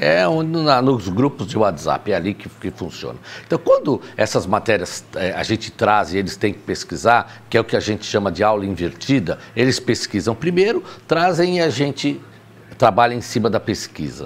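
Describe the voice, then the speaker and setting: At a moderate pace, a man talks with vocal fry at a medium pitch. His voice makes very wide pitch swings. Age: 60s. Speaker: teacher. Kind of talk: casual chat.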